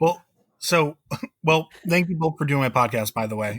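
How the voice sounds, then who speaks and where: A man talking at a fairly quick pace on a very clean recording with a silent background. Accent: Connecticut. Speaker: podcast host. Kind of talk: casual chat.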